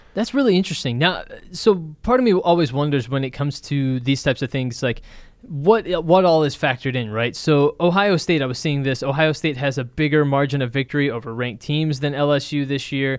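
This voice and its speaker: A man with an American accent and a plain, everyday voice speaks at a fairly quick pace, fairly high in pitch with ordinary pitch variation. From Texas. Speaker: podcast host. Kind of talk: casual chat. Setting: studio.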